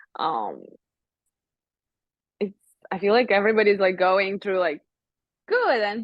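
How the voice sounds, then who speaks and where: A woman with a non-native accent speaks at medium pitch and a moderate pace. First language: not English. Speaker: model. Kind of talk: interview. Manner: hesitant, many fillers.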